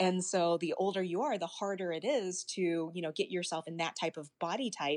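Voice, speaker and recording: A normal speaking voice with an American accent, at a fairly quick pace with hardly any pauses and ordinary pitch variation, in a dry, close sound with no echo. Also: woman, fairly low pitch for a woman. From US South, Arkansas. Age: 30s. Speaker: pageant titleholder. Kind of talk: casual interview.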